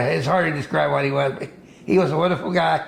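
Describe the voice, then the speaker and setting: Noticeable background noise sits behind the recording. The speaker, a man, has an American accent. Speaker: fisherman. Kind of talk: interview answer. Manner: casual, rambling storytelling.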